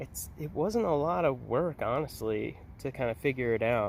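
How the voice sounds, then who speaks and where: Mumbling, a man speaks at a very slow pace. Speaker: parent. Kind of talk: casual talk to camera. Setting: outdoors. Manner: says um a lot, mumbling.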